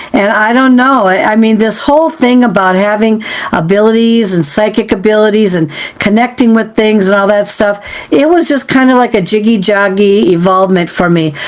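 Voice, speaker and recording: Her pitch is fairly high, with ordinary variation and very even loudness. A woman speaks at a moderate pace over noticeable background noise. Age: 60s. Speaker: podcast host interviewing a psychic. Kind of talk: casual interview chat. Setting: podcast recording.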